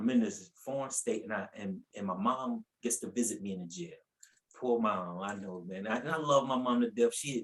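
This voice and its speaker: A man with a North Carolina accent speaks at a moderate pace, his medium-pitched voice showing ordinary pitch variation. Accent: Southern US, North Carolina. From US South, North Carolina (Asheville). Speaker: preacher. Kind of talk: testimony. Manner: animated storytelling.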